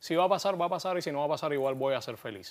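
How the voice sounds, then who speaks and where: A man with a Cuban accent talking very fast, with ordinary pitch variation. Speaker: actor and playwright; actor. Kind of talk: interview. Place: studio. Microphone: lapel.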